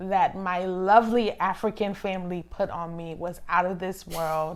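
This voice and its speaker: A woman with a plain, everyday voice speaks at a fairly slow pace in a medium pitch with fairly even intonation, on a very clean recording with a silent background. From Liberia, moved to US at age seven. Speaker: immigration lawyer. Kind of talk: interview.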